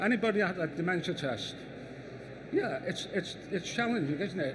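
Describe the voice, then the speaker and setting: Audible room echo carries a man's high-pitched voice. He talks at a moderate pace with ordinary pitch variation. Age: 60s. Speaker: architect. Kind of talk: conference talk. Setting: stage with audience. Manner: halting, repeats words.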